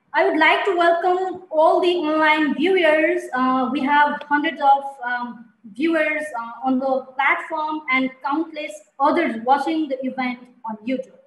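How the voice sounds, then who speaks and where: A woman speaks at a fairly slow pace in a high voice with fairly even intonation, and the room echo is audible. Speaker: webinar moderator. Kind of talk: event moderation, welcome remarks. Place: home room. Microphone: headset.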